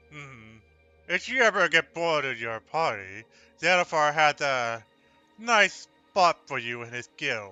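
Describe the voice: A man's put-on character voice, fairly high in pitch, clear, smooth, bright and sharp, slow-paced with big pitch swings over faint background music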